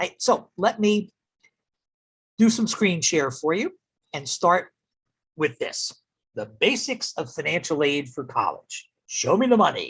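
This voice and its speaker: With an American accent, a high-voiced man speaks at a fairly slow pace, his pitch swinging very widely between long, frequent pauses. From US Northeast, New Jersey. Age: 70s. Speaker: college admissions counselor. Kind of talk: online presentation.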